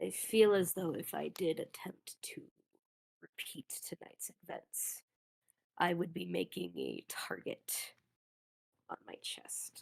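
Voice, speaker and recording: In a put-on character voice, the speaker whispers raspily at a fairly slow pace, leaving long, frequent pauses. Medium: actual play. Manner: formal, measured, dry.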